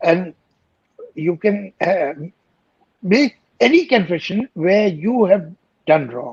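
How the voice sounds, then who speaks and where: Speaking very slowly with long, frequent pauses, a man with a high pitch and an Indian accent uses lively intonation, recorded with a dry, close sound and no echo. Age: 70s. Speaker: poet, lyricist and screenwriter. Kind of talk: interview answer.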